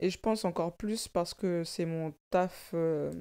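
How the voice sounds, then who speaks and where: Very slow and fairly low-pitched, a woman speaks with a dark, mellow tone and fairly even intonation in a very clean recording with a silent background. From born in Africa, grew up in French banlieue. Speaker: stylist and content creator. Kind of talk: casual chat.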